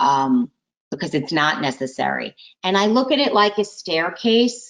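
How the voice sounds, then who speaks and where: A woman's medium-pitched voice at a moderate pace, with very wide pitch swings and vocal fry. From US, Italian-American family. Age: 50s. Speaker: author and coach. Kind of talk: interview.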